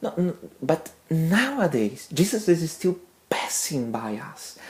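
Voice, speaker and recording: Fairly low in pitch, a woman with a non-native accent speaks with very wide pitch swings. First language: not English. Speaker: religious community member. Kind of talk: testimony talk. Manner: halting, many fillers.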